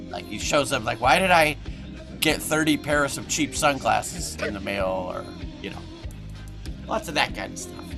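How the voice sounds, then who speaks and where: A man talks at a moderate pace with long, frequent pauses, very wide pitch swings and big swings in loudness. Music plays in the background. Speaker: voice actor. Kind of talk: interview answer. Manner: quiet, shy.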